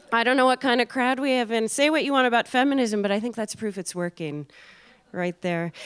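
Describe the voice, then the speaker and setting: It's a normal speaking voice: a woman with an American accent, fairly high in pitch, talking at a fairly quick pace with lively intonation. The sound is dry and close, with no echo. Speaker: comedian. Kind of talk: stand-up. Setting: stage with audience.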